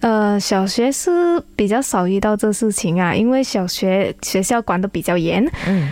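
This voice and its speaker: A plain, everyday voice from a woman at a medium pitch, fairly slow with hardly any pauses, lively intonation and very even loudness. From Malaysia, Kuantan, Pahang. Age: 20s. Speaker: beauty pageant contestant. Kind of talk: radio interview.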